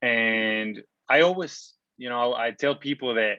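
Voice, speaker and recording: A man's bright, sharp tone with a Spanish accent, medium pitch and fairly even intonation, over a quiet background. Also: dry, close sound with no echo. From Mexico. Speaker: online entrepreneur and traveler. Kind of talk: interview. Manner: casual, with many fillers.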